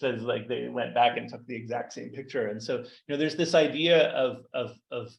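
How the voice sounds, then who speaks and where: A man talks with vocal fry and ordinary pitch variation. Audible room echo surrounds his voice. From Canada. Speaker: data artist and researcher. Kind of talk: lecture. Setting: seminar room, also streamed on video call. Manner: fast; halting, repeats words.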